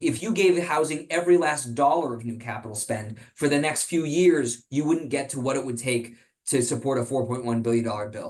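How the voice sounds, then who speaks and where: Here a man talks at a fairly quick pace in a fairly high voice with ordinary pitch variation. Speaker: policy research president. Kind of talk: presentation with Q&A. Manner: fast.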